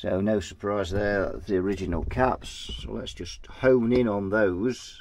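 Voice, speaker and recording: A man with a British accent speaks at a fairly slow pace with hardly any pauses, the sound dry with no echo over light background noise. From Britain. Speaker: guitar amp repair technician. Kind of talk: repair tutorial. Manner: casual, thinking aloud. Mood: relaxed, lightly humorous. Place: workshop.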